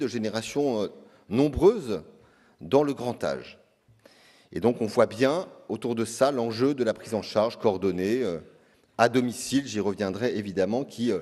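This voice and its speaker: A man speaks at a fairly slow pace with long, frequent pauses. His tone is dark and mellow, at medium pitch with ordinary pitch variation. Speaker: health insurance agency director. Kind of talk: conference speech. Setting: conference stage with audience. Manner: hesitant, many filler sounds.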